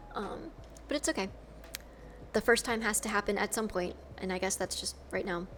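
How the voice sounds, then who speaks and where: With an American accent and vocal fry, a woman talks at a fairly quick pace at a medium pitch with ordinary variation, broken by long, frequent pauses. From US South, Georgia. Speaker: streamer and cosplayer. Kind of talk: casual live-stream chat.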